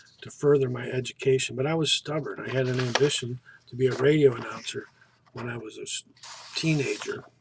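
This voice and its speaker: A man with an American accent at a fairly quick pace, over noticeable background noise. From US Midwest, northeast Ohio. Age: 60s. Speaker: college student. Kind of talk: self-introduction. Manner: formal.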